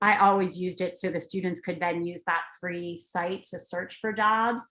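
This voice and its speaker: A woman's medium-pitched, plain, everyday voice at a moderate pace, with fairly even intonation. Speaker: transition education presenter. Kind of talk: webinar presentation.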